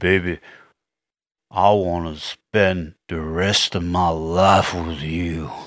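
In a put-on character voice, a man speaks very slowly in a very deep, low, raspy register with monotone, flat intonation, captured in a very clean recording with a silent background.

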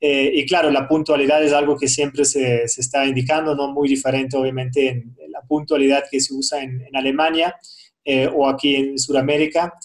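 A man with a German accent, fairly high in pitch, monotone and flat, at a moderate pace. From Germany. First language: German (speaking Spanish). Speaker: businessman, crypto investor. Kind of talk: interview. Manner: hesitant, many fillers.

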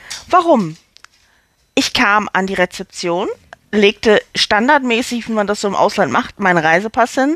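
A woman's animated voice at medium pitch and a moderate pace, with a dry, close sound and no echo. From Hamburg, northern Germany. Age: 40s. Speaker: actress and podcaster. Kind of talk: storytelling monologue.

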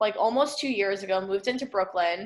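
Animated in tone, a woman with an American accent talks at a very fast pace and a medium pitch, with ordinary pitch variation. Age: 20s. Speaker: podcast guest, friend of host. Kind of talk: casual chat. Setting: remote recording from home.

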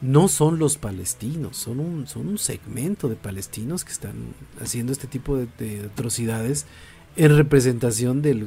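At a moderate pace, a man with a dark, mellow, somewhat breathy tone speaks with ordinary pitch variation. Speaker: podcast host. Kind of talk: casual chat.

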